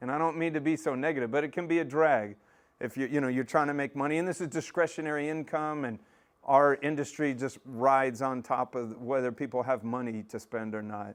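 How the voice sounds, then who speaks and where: A man with a Texan accent, fairly high pitch and an animated tone at a fairly quick pace against a quiet background. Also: ordinary pitch variation. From Texas, north of Dallas. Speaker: aquarium maintenance business owner. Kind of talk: casual presentation. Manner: loud.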